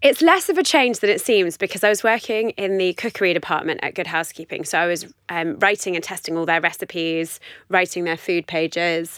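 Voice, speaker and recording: Speaking in a London accent, a woman moves at a fairly quick pace with a fairly low pitch and ordinary pitch variation. The recording is very clean, with a silent background and a dry, close sound with no echo. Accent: southern English (London). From West London, England. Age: 30s. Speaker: running blogger and dietetics student. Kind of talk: casual interview chat.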